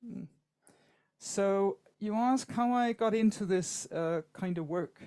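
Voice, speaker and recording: A woman speaks with a dark, mellow tone at a very slow pace. Her pitch variation is ordinary. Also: medium pitch for a woman. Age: 60s. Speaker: psychotherapist. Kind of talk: webinar talk. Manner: halting.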